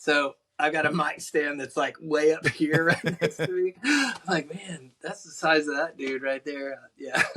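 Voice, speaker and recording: Speaking with a Texas accent, a man of fairly high pitch goes at a fairly slow pace with hardly any pauses. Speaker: country musician. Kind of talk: casual chat. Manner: animated.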